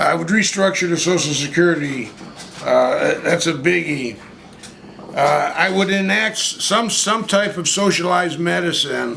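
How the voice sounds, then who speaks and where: A man speaks at a fairly slow pace with a high pitch and ordinary pitch variation. There is audible room echo and noticeable background noise. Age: 70s. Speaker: interviewee at street interview. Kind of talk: street interview. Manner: halting, many fillers and repetitions.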